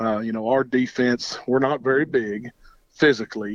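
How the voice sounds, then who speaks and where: With a Southern US accent, a man speaks at medium pitch and a moderate pace. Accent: Southern American. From Georgia, US South. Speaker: high school football coach. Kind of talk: phone interview. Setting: phone call.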